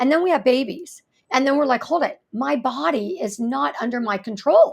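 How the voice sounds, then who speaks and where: Lively, high-pitched female speech at a moderate pace. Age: 60s. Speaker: fascia therapist. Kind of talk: podcast interview.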